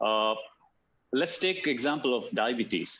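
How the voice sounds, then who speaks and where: A man with an Indian accent. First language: Hindi. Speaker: alternative medicine practitioner. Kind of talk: talk. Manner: halting, many fillers and repeats.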